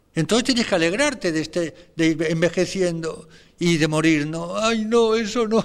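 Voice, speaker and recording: A man at a moderate pace with lively intonation. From Spain. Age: 70s. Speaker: priest. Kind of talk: spiritual meditation talk. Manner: animated.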